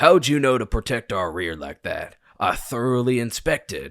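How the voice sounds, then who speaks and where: A man does a raspy, put-on character voice at medium pitch, with very wide pitch swings and big swings in loudness. The sound is dry and close, without echo. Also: moderate pace, very clean recording, silent background. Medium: read story. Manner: commanding, dry.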